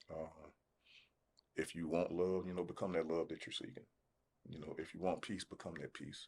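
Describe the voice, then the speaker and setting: The speaker moves at a moderate pace with fairly even intonation and long, frequent pauses. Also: man, very deep, low pitch for a man. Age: 60s. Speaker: podcast guest on relationships. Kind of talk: casual podcast conversation.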